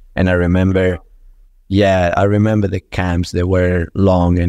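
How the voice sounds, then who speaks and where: In a Spanish accent, a man speaks with a very deep, low pitch against a quiet background. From Venezuela. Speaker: football strength and conditioning coach. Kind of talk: podcast interview. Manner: halting with repetitions.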